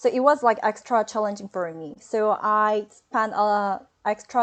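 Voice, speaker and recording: A woman's fairly high voice at a fairly slow pace against a quiet background. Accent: Korean. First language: Korean. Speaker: hospitality graduate, hotel front desk agent. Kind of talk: webinar interview. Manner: halting.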